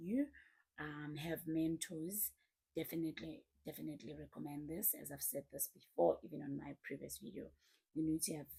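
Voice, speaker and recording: At a moderate pace, a woman talks. Her pitch is very deep and low. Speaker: YouTuber, personal development speaker. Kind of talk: motivational talk to camera. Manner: passionate.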